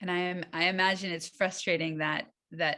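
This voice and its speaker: A woman speaks at a fairly slow pace with a fairly low pitch and vocal fry. Her tone is bright and sharp. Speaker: rabbinic intern teaching a class. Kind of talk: class discussion / lecture.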